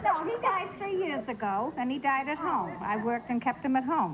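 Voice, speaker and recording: A woman in a Boston accent talks with very wide pitch swings over noticeable background noise. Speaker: talk show audience member. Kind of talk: casual chat.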